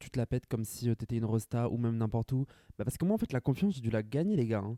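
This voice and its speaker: Very fast in pace, a man with a medium pitch and a dark, mellow tone is heard in a dry, close sound with no echo. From France, Grand Est (rural village). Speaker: podcaster. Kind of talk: casual solo monologue.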